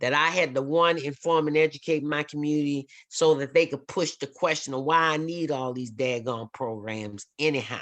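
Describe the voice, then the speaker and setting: In a New Orleans accent, a woman speaks with a very deep, low pitch. The background is quiet. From New Orleans, Louisiana. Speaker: workshop facilitator on race. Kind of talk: workshop talk. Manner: fast; animated.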